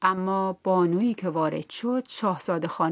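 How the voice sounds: A natural reading voice, pitch variation ordinary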